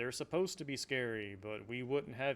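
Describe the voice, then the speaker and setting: This is a man talking at a medium pitch. The variation in his pitch is ordinary. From US South. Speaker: local game store owner. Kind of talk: casual monologue. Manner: animated.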